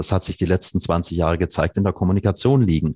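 A man with a very deep, low voice talks at a very fast pace with ordinary pitch variation. The sound is dry and close with no echo, over a quiet background. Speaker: nonprofit environmental organization founder. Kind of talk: podcast interview.

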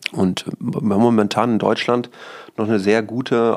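A man with a normal speaking voice talks at a moderate pace, his pitch medium and his intonation fairly even. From Münsterland, Germany (Rheine area). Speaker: real estate company CEO. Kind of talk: podcast interview.

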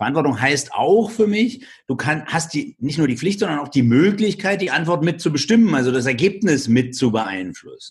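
A man's fairly high voice at a moderate pace with very wide pitch swings. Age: 50s. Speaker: entrepreneur, speaker and author. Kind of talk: interview.

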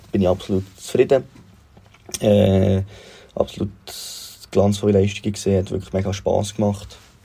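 Pausing long and often, a man with a fairly low pitch speaks at a moderate pace in a monotone, flat way, his tone dark and mellow and somewhat breathy. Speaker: football fan sending a voice message. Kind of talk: recorded voice message.

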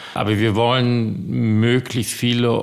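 At a fairly slow pace, a man talks in an ordinary speaking voice pitched fairly low. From US (New Jersey, California). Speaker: estate owner. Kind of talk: interview.

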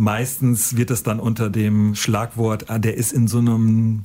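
A man's medium-pitched voice, somewhat breathy and dark, mellow in tone. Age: 50s. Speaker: teacher. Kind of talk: testimony. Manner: casual.

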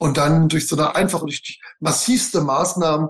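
A man with a fairly high pitch uses an ordinary speaking voice, keeping his intonation fairly even at a moderate pace. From Bavaria, Germany. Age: 40s. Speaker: real estate investor and lecturer. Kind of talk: interview. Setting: video call.

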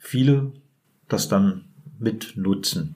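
Using ordinary pitch variation, a man speaks at a very slow pace. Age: 40s. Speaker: prison inmate. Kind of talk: interview. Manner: halting.

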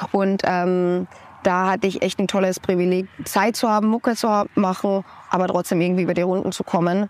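A woman talks at a medium pitch in a flat monotone. Her loudness stays very even. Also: moderate pace. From Austria. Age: 20s. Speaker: singer-songwriter. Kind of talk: casual interview.

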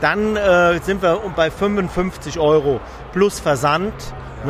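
A high-pitched male voice amid noticeable background noise. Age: 60s. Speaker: repair business owner, former dental technician. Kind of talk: interview, technical explanation. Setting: trade fair booth.

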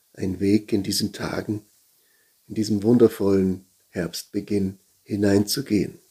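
A man talks at a fairly slow pace with a fairly low pitch and monotone, flat intonation. His tone is calm, gentle, dark and mellow. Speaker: pastor. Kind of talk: guided meditation. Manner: slow, calm, gentle; meditative, with pauses.

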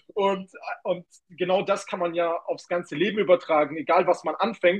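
An energetic, high-pitched man's voice. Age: 20s. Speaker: kickboxer and young entrepreneur. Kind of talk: casual interview.

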